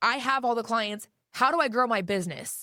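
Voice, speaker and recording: In a very clean recording with a silent background, a woman speaks loudly at fairly high pitch, bright and sharp in tone, with ordinary pitch variation. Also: dry, close sound with no echo. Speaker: realtor. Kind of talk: interview.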